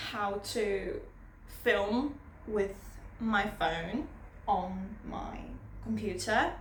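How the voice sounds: Amid strong room echo, a woman speaks in a nervous tone.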